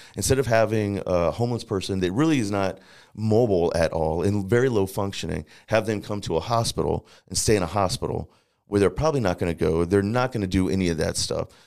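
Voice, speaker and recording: A man speaks very fast with an American accent, his pitch fairly low and its variation ordinary. The recording is very clean, with a silent background. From Northern Virginia (Fairfax County) and St. Louis. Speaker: formerly incarcerated reentry advocate. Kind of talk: interview, personal life story.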